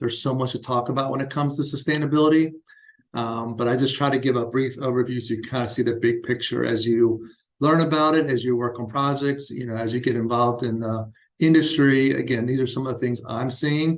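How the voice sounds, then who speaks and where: There is audible room echo around a man's voice. He speaks at a medium pitch with fairly even intonation. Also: fairly quick pace. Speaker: architect. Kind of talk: lecture. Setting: university lecture room. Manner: fast; casual, with frequent fillers.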